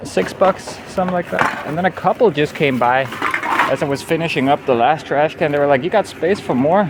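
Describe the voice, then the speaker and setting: A man in a relaxed tone, fairly high in pitch with lively intonation, speaks at a moderate pace over noticeable background noise. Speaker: nomad travel vlogger. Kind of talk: casual vlog talk. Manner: relaxed, casual.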